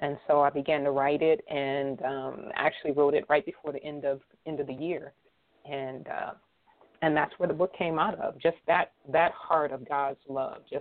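With an American accent, a woman speaks at a moderate pace in a very deep, low pitch and fairly even intonation. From Erie, Pennsylvania. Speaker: author and speaker. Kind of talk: interview testimony.

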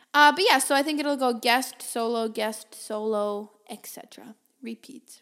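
High in pitch and animated, a woman talks at a fairly slow pace with ordinary pitch variation and big swings in loudness. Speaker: podcast host. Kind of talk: solo podcast monologue. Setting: home office with microphone, slight echo.

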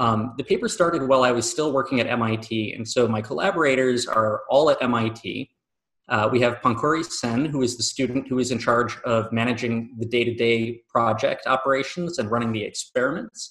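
With an American accent, a man speaks at a moderate pace in a normal speaking voice, his medium pitch showing ordinary variation. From Michigan, US. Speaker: professor, engineering researcher. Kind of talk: interview.

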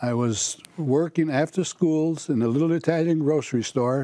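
A man's dark, mellow tone at a fairly slow pace, with ordinary pitch variation. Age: 80s. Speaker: market owner. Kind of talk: casual interview.

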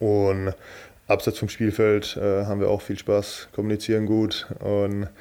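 The speaker is a man. His tone is dark and mellow. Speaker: professional handball player. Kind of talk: interview. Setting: training camp.

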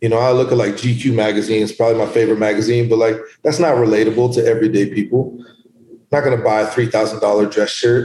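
Very fast, somewhat breathy speech from a man, dark and mellow in tone with monotone, flat intonation. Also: medium pitch for a man. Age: 40s. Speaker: entrepreneur and boxing gym owner. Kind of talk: casual interview.

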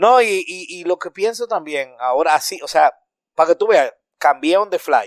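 In a dry, close sound with no echo, a man speaks in an animated tone at a moderate pace. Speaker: podcaster. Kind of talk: casual chat. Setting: recording away from studio, at home.

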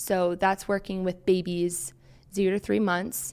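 At a fairly slow pace, a woman with an American accent uses a normal speaking voice of medium pitch and fairly even intonation, on a very clean recording with a silent background. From US, Maryland. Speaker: occupational therapy student. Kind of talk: interview. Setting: studio.

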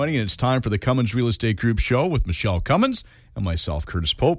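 The speaker talks very fast in a Canadian accent, with vocal fry. The pitch swings very widely. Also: man. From Canada. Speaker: radio show co-host. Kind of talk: casual chat.

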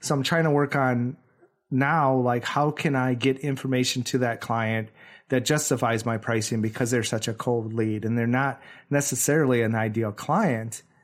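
An ordinary speaking voice with an American accent moves at a moderate pace with fairly even intonation. Loudness stays very even on a very clean recording with a silent background. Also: man, medium pitch for a man. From Wisconsin. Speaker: professional photographer, podcast co-host. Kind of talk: casual chat.

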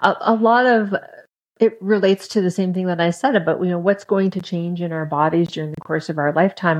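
A woman speaks in an ordinary speaking voice at a fairly low pitch. Her pace is fairly quick, with ordinary pitch variation. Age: 50s. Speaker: podcast guest, former long-term dieter. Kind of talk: casual interview.

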